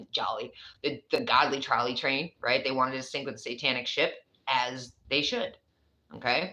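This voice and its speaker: This woman has a New York accent. She talks at a fairly quick pace. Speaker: tarot reader. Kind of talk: tarot reading. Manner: casual, conversational.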